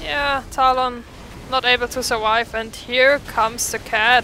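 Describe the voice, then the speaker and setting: Against noticeable background noise, a woman with a fairly high pitch speaks with fairly even intonation. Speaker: esports-style game commentator (shoutcaster). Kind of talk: live game shoutcasting commentary.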